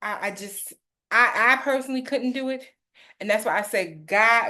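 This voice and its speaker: The woman's voice sits fairly high in pitch. It has a bright, sharp tone. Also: ordinary pitch variation, moderate pace. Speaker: host's mother, guest. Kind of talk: casual chat. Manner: emphatic.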